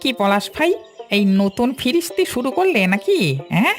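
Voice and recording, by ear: A female-sounding voice in a cartoonish character voice swings very widely in pitch at a fairly high level, moving at a moderate pace over clear music in the background.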